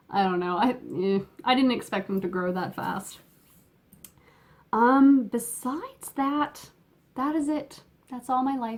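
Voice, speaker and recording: With long, frequent pauses, a woman speaks at a high pitch and a fairly slow pace. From Canada. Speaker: knitting podcaster. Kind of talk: casual chat. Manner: halting, many fillers. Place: home room. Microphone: phone near.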